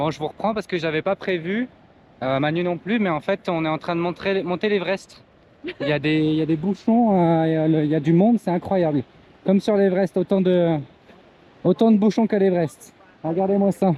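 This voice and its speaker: Long, frequent pauses break up fairly quick speech that has ordinary pitch variation. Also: man, high pitch for a man. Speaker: travel vlogger. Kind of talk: travel vlog narration. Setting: outdoors. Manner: halting.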